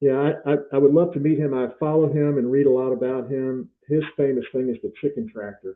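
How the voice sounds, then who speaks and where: In an ordinary speaking voice, a man with a fairly high pitch talks at a fairly quick pace with fairly even intonation and hardly any pauses. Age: 60s. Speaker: farmer. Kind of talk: casual chat.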